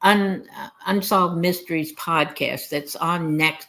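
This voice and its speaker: Very slowly, a woman speaks in a very deep, low pitch with a bright, sharp tone. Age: 70s. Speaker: mother of a murder victim, justice advocate. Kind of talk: interview, personal story. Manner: halting, with many fillers.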